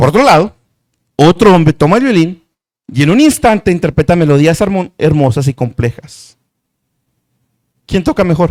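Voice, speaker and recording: In a dry, close sound with no echo, a high-pitched man speaks with lively intonation and long, frequent pauses. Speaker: preacher and Bible teacher. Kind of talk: sermon-style Bible teaching. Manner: fast.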